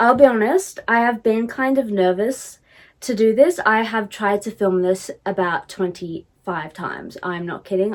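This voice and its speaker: A woman talks at a moderate pace with an Australian accent. Her fairly high voice has lively intonation. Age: 20s. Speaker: podcast host. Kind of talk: casual chat. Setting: empty room.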